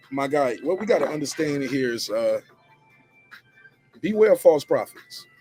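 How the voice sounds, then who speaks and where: Man at a moderate pace, with long, frequent pauses and music in the background. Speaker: YouTube commentator / show host. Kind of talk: casual talk to camera, news commentary. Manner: energetic, casual.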